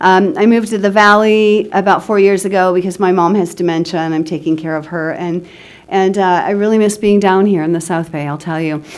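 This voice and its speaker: Against noticeable background noise, a woman speaks at a fairly quick pace with a medium pitch and fairly even intonation. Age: 60s. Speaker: recovering alcoholic speaker. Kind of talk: testimony.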